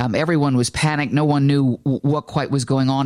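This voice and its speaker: A woman's dark, mellow voice at a very fast pace. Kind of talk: live news report. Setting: outdoors at the Pentagon.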